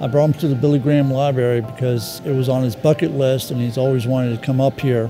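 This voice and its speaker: A man's voice over clear background music. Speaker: son of the veteran. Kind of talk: interview answer. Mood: grateful, emotional. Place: hall. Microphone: lapel.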